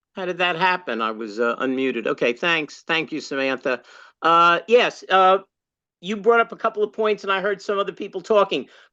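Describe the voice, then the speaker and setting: This man talks loudly at a fairly quick pace in a high voice. His pitch swings very widely. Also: quiet background. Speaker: party activist, former candidate and state chair. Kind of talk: workshop discussion comment. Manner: halting, many fillers.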